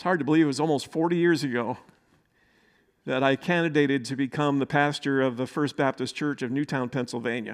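Over a very clean recording with a silent background, a man with a plain, everyday voice speaks at a fairly high pitch. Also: fairly even intonation, fairly quick pace. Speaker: pastor. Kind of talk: sermon.

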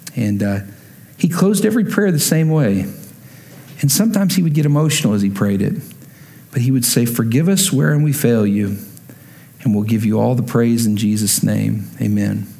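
There is audible room echo as a man with an American accent talks at a moderate pace, with long, frequent pauses. His medium pitch makes very wide swings while his loudness stays very even. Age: 30s. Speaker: pastor. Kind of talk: sermon.

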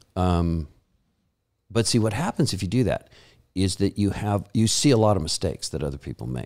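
On a very clean recording with a silent background, a man speaks at a fairly quick pace with vocal fry and very wide pitch swings. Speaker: pastor and Bible college teacher. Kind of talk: interview conversation. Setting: studio.

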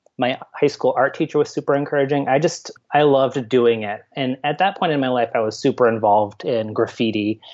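With an American accent, a man uses an ordinary speaking voice and ordinary pitch variation. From upstate New York. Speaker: artist and university lab manager. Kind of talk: interview conversation. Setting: remote call.

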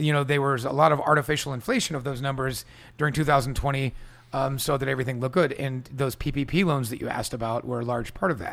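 A man with an American accent speaks at a very fast pace. His pitch is fairly high and his intonation fairly even. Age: 40s. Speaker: restaurant owner. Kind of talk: casual interview. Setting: at home.

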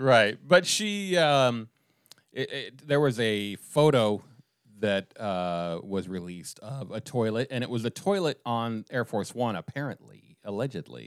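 In a very clean, dry and close recording with no echo and a silent background, a man with an unremarkable speaking voice at medium pitch talks at a fairly slow pace with lively intonation. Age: 50s. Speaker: comedian and writer, podcast co-host. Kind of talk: casual political satire chat.

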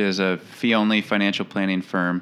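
A man with an Upper Midwest accent. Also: very clean recording, silent background. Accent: Upper Midwest American. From St. Paul, Minnesota. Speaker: financial planner, business owner. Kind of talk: casual interview chat.

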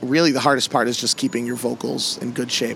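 The speaker has an American accent. Noticeable background noise runs behind the voice. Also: man. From US Northeast, Massachusetts. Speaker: piano bar entertainer. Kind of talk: casual interview. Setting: outdoors on an island.

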